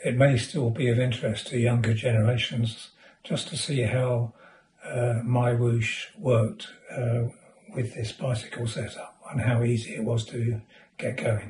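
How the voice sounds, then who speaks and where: With a British accent, a man speaks at medium pitch. His pace is fairly slow and his intonation fairly even. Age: 70s. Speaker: retired amateur cyclist reviewing apps. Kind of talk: tutorial. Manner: halting.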